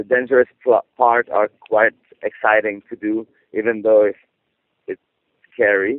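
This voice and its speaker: A man speaks fairly slowly with a non-native accent. His pitch is fairly low. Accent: non-native English speaker. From Quebec, rural (Saint-Alphonse-Rodriguez area). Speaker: circus performer. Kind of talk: interview. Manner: halting.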